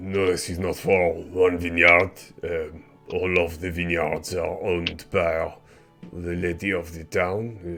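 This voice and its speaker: Using a put-on character voice, a man speaks fairly slowly at a very deep, low pitch. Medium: actual play. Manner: guarded.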